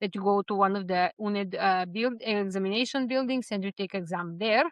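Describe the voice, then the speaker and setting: With a Serbian accent, a woman talks at a fairly quick pace in a medium pitch with ordinary pitch variation. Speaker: vlogger. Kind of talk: personal vlog. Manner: hesitant, with fillers.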